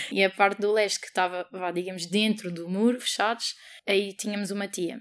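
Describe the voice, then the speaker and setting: A woman at a medium pitch, fairly quick and monotone with flat intonation, on a very clean recording with a silent background. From Portugal. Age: 20s. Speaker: interviewee with German family. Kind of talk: interview.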